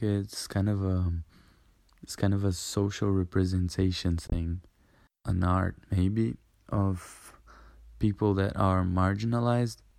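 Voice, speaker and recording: The voice has a Portuguese accent and a dark, mellow tone, broken by long, frequent pauses. The recording is very clean, with a silent background. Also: man. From Brazil, a smaller city. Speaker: medical student. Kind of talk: casual interview chat.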